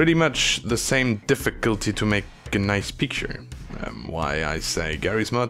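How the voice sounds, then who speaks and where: The speaker moves at a moderate pace with very wide pitch swings. Noticeable background noise runs underneath. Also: man, fairly low pitch for a man. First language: not English. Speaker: video tutorial maker. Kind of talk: screen recording tutorial. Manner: halting; casual.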